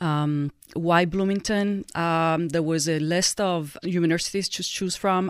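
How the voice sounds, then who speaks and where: On a very clean recording with a silent background, a woman with an Italian accent speaks in a flat monotone. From Italy. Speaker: nonprofit director. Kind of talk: interview conversation.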